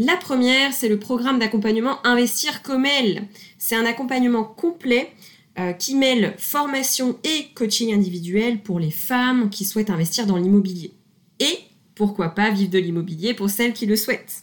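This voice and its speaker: This woman has a fairly high pitch and lively intonation. It is an ordinary speaking voice. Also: moderate pace. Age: 20s. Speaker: podcast host and property investor. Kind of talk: scripted show intro and product pitch.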